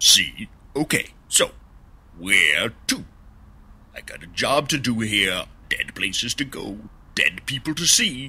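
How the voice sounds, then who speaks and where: In a cartoonish character voice at medium pitch, a man delivers his lines at a fairly slow pace with long, frequent pauses. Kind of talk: comedic sketch dialogue. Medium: puppet show. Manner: wisecracking, impatient. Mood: jokey, businesslike.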